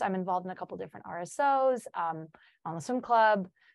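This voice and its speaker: A woman speaks with a Chicago accent at medium pitch. Her pace is moderate, and the background is quiet. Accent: Chicago American English. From US Midwest, Chicago. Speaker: student teacher. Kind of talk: podcast interview.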